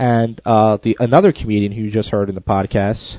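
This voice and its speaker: A man speaks at a fairly quick pace. His pitch sits fairly low. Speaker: podcast host and stand-up comedian. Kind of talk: podcast monologue intro. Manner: fast; hyper, sped up.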